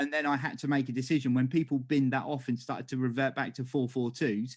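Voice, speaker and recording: Very fast and flat, a man talks in a monotone at a medium pitch in a very clean recording with a silent background. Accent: English. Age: 40s. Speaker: podcast host. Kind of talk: casual chat.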